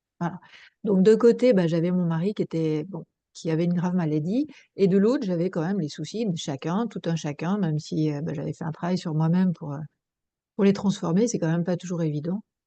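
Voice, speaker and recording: Fairly low in pitch, a woman speaks at a fairly quick pace in a dark, mellow tone. The background is quiet. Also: ordinary pitch variation. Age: 60s. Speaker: psychoanalyst and mediator, workshop participant. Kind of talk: personal testimony in group video discussion. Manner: hesitant, many fillers.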